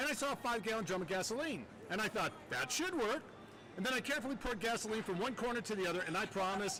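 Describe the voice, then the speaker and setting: With noticeable background noise behind him, a man talks at a very fast pace in a high pitch with lively intonation. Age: 60s. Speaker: pole vault official. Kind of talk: casual chat.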